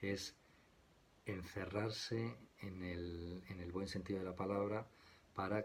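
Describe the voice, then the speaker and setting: Soft-spoken and somewhat breathy, a man talks very slowly in a very deep, low voice with fairly even intonation and audible room echo. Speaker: tarot teacher. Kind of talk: lecture. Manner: soft-spoken, quiet; halting, many fillers.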